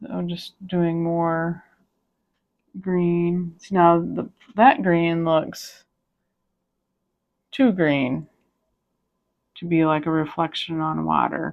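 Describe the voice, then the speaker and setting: Soft-spoken and calm, a woman with a fairly low pitch and ordinary pitch variation talks at a very slow pace with long, frequent pauses. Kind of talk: casual talk to camera. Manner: calm, soft-spoken.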